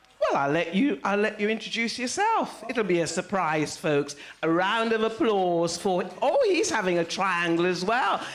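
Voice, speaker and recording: A woman's medium-pitched voice, lively intonation, moderate pace, hardly any pauses, very even loudness, noticeable background noise. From Saint Vincent. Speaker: event host. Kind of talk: compering live event. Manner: animated.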